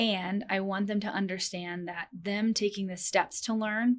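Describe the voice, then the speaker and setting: The recording is very clean with a silent background, and the woman's voice sits at a medium pitch. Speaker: perinatal and pediatric chiropractor, doula. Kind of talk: interview. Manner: fast.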